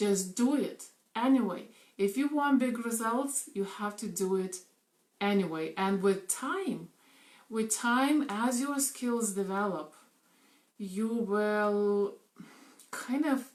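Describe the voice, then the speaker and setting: Speaking at a very slow pace with long, frequent pauses, a woman uses a fairly high voice and lively intonation. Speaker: network marketing coach. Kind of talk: live video talk. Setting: live stream. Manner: animated.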